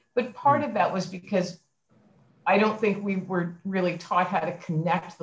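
With an American accent, a woman talks at a moderate pace. Her delivery sounds somewhat breathy. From Philadelphia. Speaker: university president. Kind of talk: casual interview. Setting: video call.

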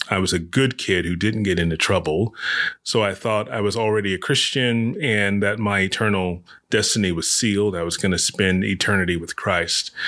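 A man with an American accent speaks at a moderate pace in a fairly low pitch, his bright, sharp tone carrying fairly even intonation on a very clean recording with a silent background. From US South. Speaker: pastor. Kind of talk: casual interview. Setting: in-person interview at church.

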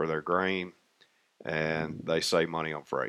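A man with a Tennessee accent speaks at a fairly slow pace in a very deep, low pitch with monotone, flat intonation over a quiet background. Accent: Southern US, Tennessee. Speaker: railroad maintenance contractor. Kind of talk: casual interview.

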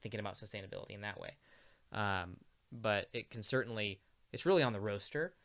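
A man with an American accent, fairly low pitch, a very fast pace and long, frequent pauses, in a very clean recording with a silent background. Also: ordinary pitch variation. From US Midwest, Peoria, Illinois. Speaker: coffee roaster. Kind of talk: casual chat.

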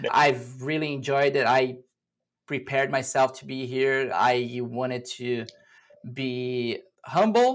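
A man with a Portuguese accent at medium pitch, very slow pace and fairly even intonation, in a very clean recording over a silent background. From Brazil. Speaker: cybersecurity executive. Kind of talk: interview.

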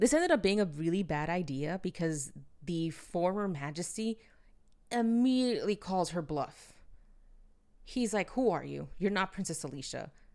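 In a very clean recording with a silent background, a woman of medium pitch talks at a moderate pace with lively intonation. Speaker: solo podcast host reviewing manga. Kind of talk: solo review monologue. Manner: stumbling over words at times; chatty, conversational.

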